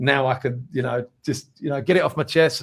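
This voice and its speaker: Speaking very fast, a man is heard on a very clean recording against a silent background. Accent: London. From Essex, England. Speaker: musician. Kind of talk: interview.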